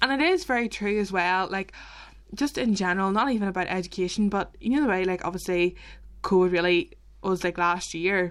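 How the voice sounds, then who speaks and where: A woman with a Northern Irish accent speaks at a medium pitch and a fairly quick pace in a very clean recording with a silent background. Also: ordinary pitch variation. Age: 20s. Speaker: podcast co-host. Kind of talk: casual chat. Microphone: mic not as good as co-host's.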